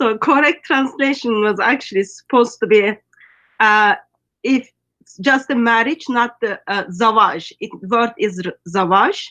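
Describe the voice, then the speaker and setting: In a Turkish accent, a woman speaks at a fairly high pitch, her bright, sharp tone carried by lively intonation. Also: fairly slow pace. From Turkey. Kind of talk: casual online interview. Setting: skype call. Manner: hesitant, many fillers.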